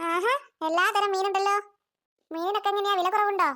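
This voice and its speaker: A squeaky, cartoonish character voice from a woman, extremely high in pitch, with fairly even intonation and a moderate pace. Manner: jovial, familiar.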